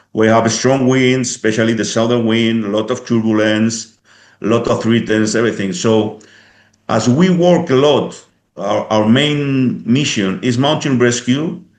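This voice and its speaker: At a fairly slow pace, a man of medium pitch speaks with ordinary pitch variation, and room echo can be heard. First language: Spanish or Basque. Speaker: police helicopter pilot and instructor. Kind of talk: interview. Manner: halting.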